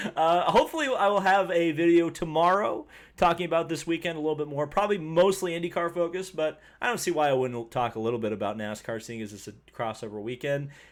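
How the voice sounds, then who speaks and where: A man with an Indiana accent, mumbling at a very fast pace in a high pitch with lively intonation, on a very clean recording with a silent background. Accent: Hoosier (Indiana). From Indiana, US Midwest. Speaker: motorsport YouTuber. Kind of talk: live stream race review. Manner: mumbly, self-described mush mouth.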